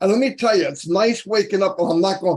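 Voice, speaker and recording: A man talks with a high pitch. His pitch variation is ordinary. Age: 60s. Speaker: business promoter. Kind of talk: motivational pitch. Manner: animated.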